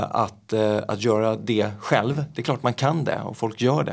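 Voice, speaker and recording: Vocal fry runs through the man's speech. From Gothenburg, Sweden. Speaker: magician. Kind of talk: casual chat.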